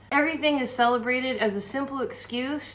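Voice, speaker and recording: A woman speaks in an animated tone with an American accent. Noticeable background noise runs beneath her. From United States. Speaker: cooking and witchcraft channel host. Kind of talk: casual rant.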